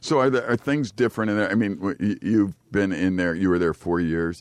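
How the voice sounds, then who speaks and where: A man talks at a fairly quick pace over a quiet background, with a fairly low pitch and ordinary pitch variation. He has an ordinary speaking voice. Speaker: radio host. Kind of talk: casual radio chat. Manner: joking, teasing.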